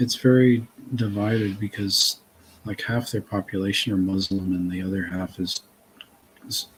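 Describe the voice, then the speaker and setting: A man with a slight Massachusetts accent speaks at a fairly low pitch and a moderate pace, with fairly even intonation and long, frequent pauses. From Massachusetts, north of Boston. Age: 40s. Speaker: author and interview guest. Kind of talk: casual chat.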